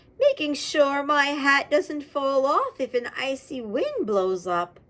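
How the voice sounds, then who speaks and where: A put-on character voice at a high pitch and a fairly slow pace. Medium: read story.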